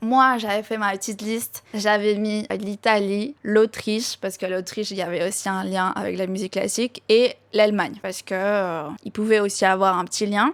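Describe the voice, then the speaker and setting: Speaking at a moderate pace with hardly any pauses, a woman with a Spanish accent holds a medium pitch and fairly even intonation on a very clean recording with a silent background. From Argentina, La Pampa province. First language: Spanish (speaking French). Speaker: YouTuber. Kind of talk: casual Q&A storytelling. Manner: casual, filler-heavy.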